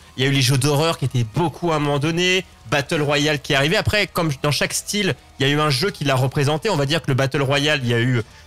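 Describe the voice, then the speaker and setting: Music plays behind a man talking at a very fast pace, his pitch fairly high. His loudness stays very even, and his pitch varies in an ordinary way. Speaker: gaming show host. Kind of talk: casual chat.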